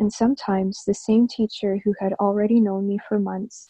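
A woman speaks with a Canadian accent at a moderate pace, her pitch medium. The tone is dark and mellow, somewhat breathy. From Canada, born in Egypt. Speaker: writer and ceremonial healer. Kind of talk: reading aloud.

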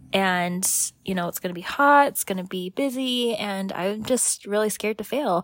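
A woman's normal speaking voice at a moderate pace, on a very clean recording with a silent background. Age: 20s. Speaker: podcast co-host, cookbook author. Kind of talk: casual chat.

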